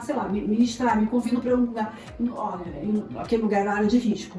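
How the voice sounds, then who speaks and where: With music in the background, a woman speaks fairly quickly and with ordinary pitch variation. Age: 40s. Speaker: theology seminary director and family therapist. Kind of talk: podcast interview.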